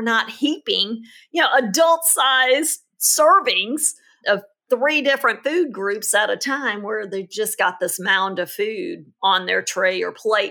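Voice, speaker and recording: Her bright, sharp tone rides very wide pitch swings as the woman talks at a fairly slow pace on a very clean recording with a silent background. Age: 50s. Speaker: parenting podcast host, pediatric expert. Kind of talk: casual chat.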